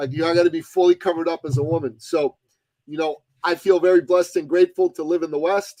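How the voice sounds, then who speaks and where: In a dry, close recording with no echo, a high-voiced man talks fairly quickly with fairly even intonation. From Iran, emigrated to Canada as a child. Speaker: author and speaker. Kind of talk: podcast interview.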